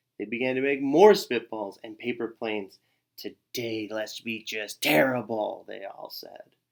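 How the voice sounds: Against a quiet background, the recording holds a natural reading voice.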